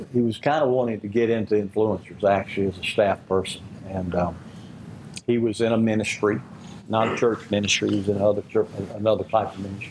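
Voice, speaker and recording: At a very fast pace, a man speaks in a fairly low pitch with fairly even intonation. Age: 70s. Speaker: ministry leader. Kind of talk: talk to a group. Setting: lunch gathering with small audience.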